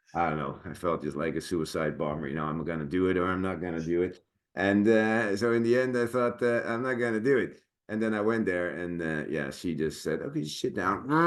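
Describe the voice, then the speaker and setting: With a Dutch accent, a man speaks in a very deep, low voice. His intonation is lively and his pace fairly quick. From Netherlands. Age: 40s. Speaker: actor and sword master. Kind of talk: casual chat. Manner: halting.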